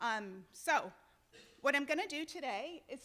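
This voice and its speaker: A woman's raised, projected voice at a fairly slow pace. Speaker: genetics researcher. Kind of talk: lecture. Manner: loud; animated.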